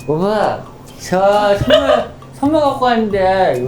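A man's put-on character voice, high-pitched with very wide pitch swings, at a very slow pace over clear background noise. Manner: pleading, clingy.

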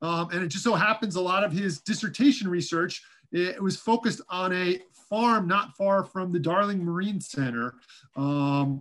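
Over a quiet background, a man speaks at a high pitch with ordinary pitch variation. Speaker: seminar host introducing the speaker. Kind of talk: introduction. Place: home room. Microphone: video call.

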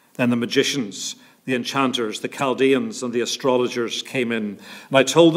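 The background stays quiet. At a fairly quick pace, a man talks with ordinary pitch variation. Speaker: scripture reader at a church service. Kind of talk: scripture reading. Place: church.

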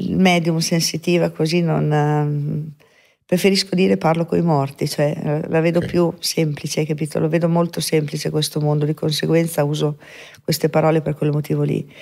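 Against a quiet background, a woman with a very deep, low pitch speaks at a fairly quick pace in a monotone, flat intonation. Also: very even loudness. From northern Italy, Veneto (Mestre); Veneto, Italy. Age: 60s. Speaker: medium; podcast guest. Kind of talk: interview testimony. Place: studio. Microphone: studio mic.

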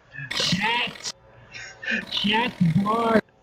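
The speaker uses a put-on character voice. Its pitch sits fairly high. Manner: yappy, shrill, excitable.

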